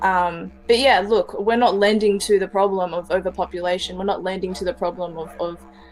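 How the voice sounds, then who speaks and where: The speaker has an Australian accent and fairly even intonation, at a moderate pace. There is music in the background. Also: woman. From Melbourne, Australia. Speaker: podcast guest. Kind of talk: casual chat.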